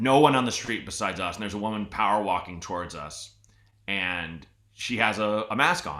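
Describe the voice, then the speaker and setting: A man speaks at a moderate pace with a West Coast accent and a fairly low pitch. His tone is bright, sharp and animated. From Portland, Oregon. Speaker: podcast host. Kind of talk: casual chat.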